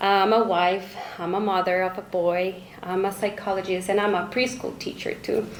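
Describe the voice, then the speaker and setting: A woman's medium-pitched voice with a Spanish accent, audible room echo and noticeable background noise. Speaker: school director and psychologist. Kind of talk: speech. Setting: fundraising banquet with audience.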